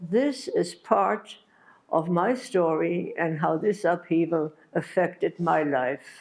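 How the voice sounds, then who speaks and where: In a German accent, a woman speaks at a very slow pace and fairly low pitch with lively intonation, vocal fry, and very even loudness. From Germany, Berlin. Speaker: Holocaust survivor. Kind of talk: testimony. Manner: halting.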